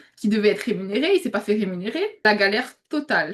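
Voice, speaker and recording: A woman's fairly high, somewhat breathy voice. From Réunion. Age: 20s. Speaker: UGC content creator, student. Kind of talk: interview. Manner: hesitant, many fillers.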